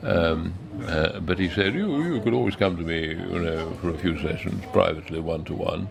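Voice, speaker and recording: A man with a very deep, low pitch speaks at a moderate pace and with ordinary pitch variation. Audible room echo and noticeable background noise surround him. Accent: Received Pronunciation. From northern England, Pudsey, West Yorkshire. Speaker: actor. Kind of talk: interview, storytelling. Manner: halting, many fillers and restarts.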